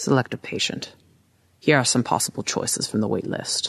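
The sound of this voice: A man puts on a gravelly character voice at a medium pitch. He speaks at a moderate pace.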